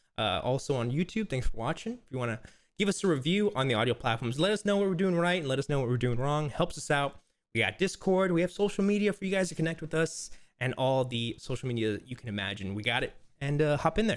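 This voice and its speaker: This man's voice sits at a fairly high pitch and swings very widely up and down. He speaks at a very fast pace. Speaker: podcast host. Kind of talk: casual chat. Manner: stutters a lot.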